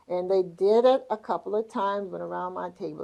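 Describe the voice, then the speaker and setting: Here a woman speaks in a Southern US accent. Her pitch is medium and her pace moderate. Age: 80s+. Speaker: podcast host. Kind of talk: casual interview chat.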